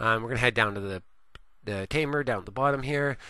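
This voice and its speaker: A man speaks with a Canadian accent. His tone is bright and sharp against a quiet background. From Canada. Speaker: gaming video creator. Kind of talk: gameplay tutorial. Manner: cheery.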